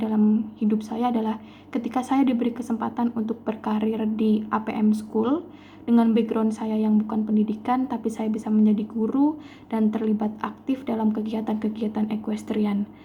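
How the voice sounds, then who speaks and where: Over noticeable background noise, a woman speaks at a moderate pace in a fairly high voice with monotone, flat intonation. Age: 20s. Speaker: job applicant, chemistry teacher. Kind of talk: self-introduction for job application. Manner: formal.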